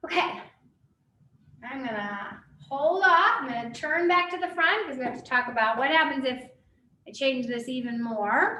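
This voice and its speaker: A woman's raised, projected voice, high in pitch, with very wide pitch swings, big swings in loudness, long, frequent pauses and audible room echo. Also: moderate pace. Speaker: physics teacher. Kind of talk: lecture.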